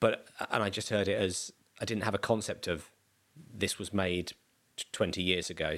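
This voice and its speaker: A man with a South London accent, fairly low in pitch, at a moderate pace with fairly even intonation and long, frequent pauses. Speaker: comedian. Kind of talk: casual chat. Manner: halting.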